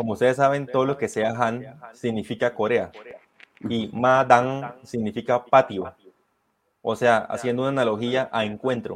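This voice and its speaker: A man's medium-pitched voice at a moderate pace, fairly even in intonation but with big swings in loudness. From Colombia. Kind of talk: interview, historical storytelling. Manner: hesitant, many fillers.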